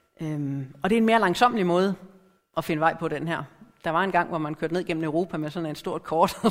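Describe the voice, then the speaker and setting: The voice is an unremarkable speaking voice with ordinary pitch variation. It moves at a fairly quick pace. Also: woman, fairly low pitch for a woman. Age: middle-aged. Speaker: lay preacher. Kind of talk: sermon.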